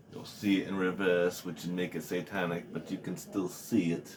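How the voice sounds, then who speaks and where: This man has a very deep, low voice with a dark, mellow tone and talks at a fairly slow pace. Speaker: podcaster. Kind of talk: casual monologue. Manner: rambling with fillers and hesitations.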